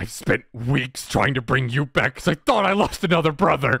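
This man puts on a character voice, pitched fairly high and delivered at a moderate pace. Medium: virtual streamer. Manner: frantic, repetitive denial.

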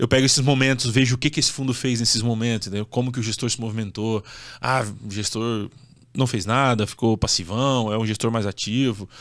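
The speaker moves at a fairly quick pace with fairly even intonation. The background is quiet. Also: man. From southern Brazil (Santa Catarina). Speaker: real estate fund investment influencer. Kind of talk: casual interview. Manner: direct. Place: studio. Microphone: studio mic.

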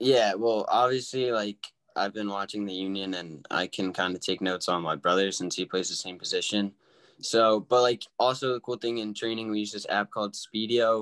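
A plain, everyday voice from a man, fairly low in pitch, with fairly even intonation over a quiet background. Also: moderate pace. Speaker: guest. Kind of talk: interview answer. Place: home room.

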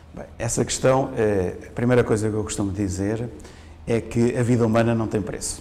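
He speaks in a European Portuguese accent at a medium pitch for a man. His intonation stays fairly even. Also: moderate pace. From Portugal. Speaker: fire safety engineering professor; university professor. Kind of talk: interview; interview answer. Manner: halting. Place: studio. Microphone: lapel.

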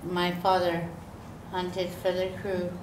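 Audible room echo surrounds a woman's voice. Light background noise is also present. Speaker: guest lecturer. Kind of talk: lecture. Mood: calm, measured storytelling.

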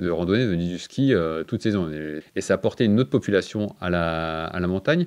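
The man's pitch is low and his tone slightly mellow. He moves at a fairly quick pace with ordinary pitch variation.

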